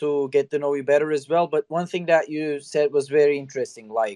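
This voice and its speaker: Recorded dry and close with no echo, a man speaks with a non-native accent. His voice is fairly high with a dark, mellow tone. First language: not English. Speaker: podcast host. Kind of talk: interview. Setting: online audio space. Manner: hesitant, many fillers.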